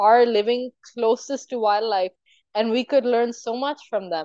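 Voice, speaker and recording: Dark and mellow in tone, the voice moves at a fairly quick pace, its sound dry and close with no echo. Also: woman. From Pakistan. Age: 20s. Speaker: aspiring zoologist and conservationist. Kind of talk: interview. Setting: remote call. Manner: animated.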